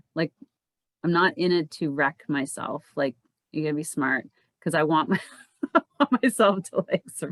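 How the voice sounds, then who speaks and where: This woman's voice sits fairly low and moves at a fairly slow pace with ordinary pitch variation. The sound is dry and close, with no echo. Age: 50s. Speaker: cycling coach and podcast host. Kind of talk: casual chat. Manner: halting.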